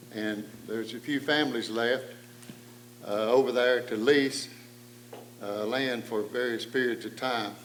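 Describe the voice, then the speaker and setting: A speaker with an Appalachian accent talks at a fairly slow pace in a monotone, flat intonation, with long, frequent pauses. Noticeable background noise and audible room echo surround the voice. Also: man, medium pitch for a man. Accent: Appalachian Southern US. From East Tennessee, Cades Cove. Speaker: panel moderator. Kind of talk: public talk.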